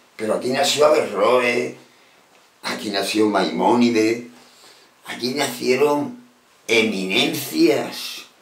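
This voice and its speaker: A man speaks at a very slow pace with lively intonation over noticeable background noise. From Andalusia, Spain. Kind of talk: casual talk to camera. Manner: passionate, emphatic.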